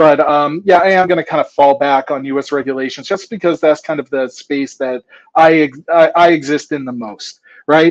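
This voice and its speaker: Fairly high in pitch, a man with an American accent speaks at a moderate pace with ordinary pitch variation. His is an unremarkable speaking voice. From United States. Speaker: drone tech sales presenter. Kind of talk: conference presentation. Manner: casual, filler-heavy.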